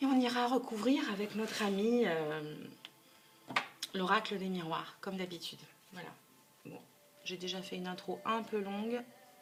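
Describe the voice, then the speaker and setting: A woman's voice with long, frequent pauses, big swings in loudness and ordinary pitch variation, over background music with audible room echo. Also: medium pitch for a woman, moderate pace. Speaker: tarot card reader. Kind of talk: tarot reading video. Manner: hesitant, with repeated words.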